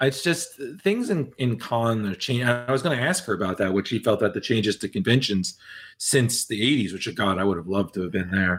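A man's unremarkable speaking voice at medium pitch, moderate pace and lively intonation. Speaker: podcast co-host. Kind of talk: casual chat.

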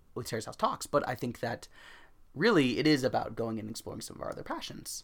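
Big swings in loudness mark a man's playful tone as he speaks at a fairly quick pace. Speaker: podcast host. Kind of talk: casual chat. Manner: playful, joking.

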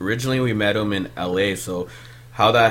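With a Canadian accent, a man talks at a moderate pace and a fairly low pitch. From Ontario, Canada (Malton, Peel Region). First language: Punjabi. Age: 30s. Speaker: music producer. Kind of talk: casual chat. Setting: studio.

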